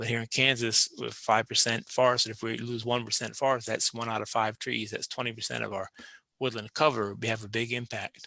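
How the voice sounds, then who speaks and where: A man talks at a fairly quick pace in a medium pitch, his tone bright and sharp with vocal fry. His intonation is monotone and flat, and the sound is dry and close with no echo. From Maine. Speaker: forestry professor. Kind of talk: podcast interview. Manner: relaxed, hesitant with fillers.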